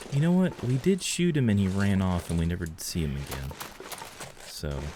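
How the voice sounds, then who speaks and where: A man with an American accent talks at a fairly quick pace in a fairly low pitch, his voice making very wide pitch swings. Noticeable background noise runs behind him. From US South, Georgia. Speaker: video game streamer. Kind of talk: casual gameplay commentary. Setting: live stream.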